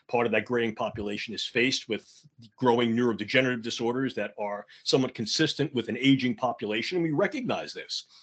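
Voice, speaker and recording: Speaking very fast, a man with a New York accent holds a medium pitch. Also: ordinary pitch variation. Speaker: conference speaker on neurotech ethics. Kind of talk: conference talk. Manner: off the cuff.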